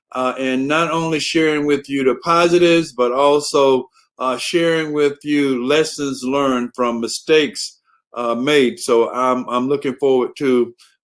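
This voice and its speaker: Fairly slow, fairly high-pitched speech from a man in a Southern US accent, with fairly even intonation. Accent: Southern US drawl. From US South. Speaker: human resources director. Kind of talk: conference talk. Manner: many filler words (uh, um).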